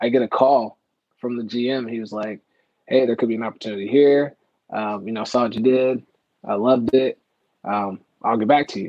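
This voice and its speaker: With an American accent, a man talks at medium pitch in a monotone, flat intonation broken by long, frequent pauses. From Las Vegas, Nevada. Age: 30s. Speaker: NBA video associate and basketball skills trainer. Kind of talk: casual interview.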